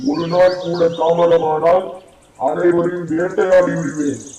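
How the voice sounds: A put-on character voice from a man, high in pitch and very slow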